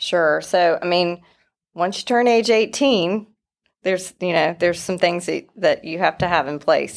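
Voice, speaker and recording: A woman speaks at a moderate pace with a fairly low pitch and ordinary variation. The recording is very clean, the background silent. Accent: slight North Carolina. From North Carolina (Wilson). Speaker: estate planning lawyer. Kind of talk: professional interview.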